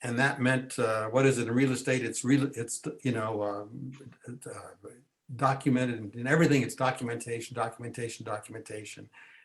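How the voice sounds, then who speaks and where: Monotone, flat intonation from a man at medium pitch, somewhat breathy and at a fairly quick pace. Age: 80s+. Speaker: genealogist and author. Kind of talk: talk to a meeting audience. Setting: library meeting room with audience. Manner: casual, with frequent fillers and restarts.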